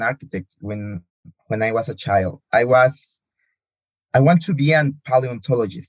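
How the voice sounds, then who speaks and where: Somewhat breathy, a man with a Spanish accent speaks at a fairly slow pace with lively intonation. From Mexico, Morelia. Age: 20s. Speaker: architect. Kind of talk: casual interview. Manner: halting.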